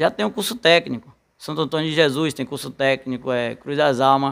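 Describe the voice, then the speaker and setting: A man's fairly quick speech, with ordinary pitch variation, comes through against a quiet background. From rural Bahia. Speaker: council candidate. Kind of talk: radio interview. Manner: halting. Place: studio. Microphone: studio mic.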